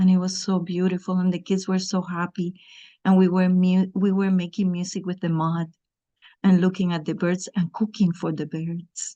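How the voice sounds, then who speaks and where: Against a quiet background, a woman with a dark, mellow tone speaks at a moderate pace in a monotone, flat intonation. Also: medium pitch for a woman. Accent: Cuban. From Cuba. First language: Spanish. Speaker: garden educator for children. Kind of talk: guided exercise. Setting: video call.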